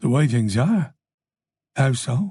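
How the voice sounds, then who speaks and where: A man's raspy, medium-pitched put-on character voice with very wide pitch swings. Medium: read story. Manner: terse, understated.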